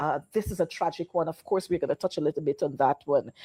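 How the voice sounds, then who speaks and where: The woman's voice is fairly low with a dark, mellow tone and ordinary pitch variation, in a dry, close sound with no echo. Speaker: talk show host. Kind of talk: political talk show. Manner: animated.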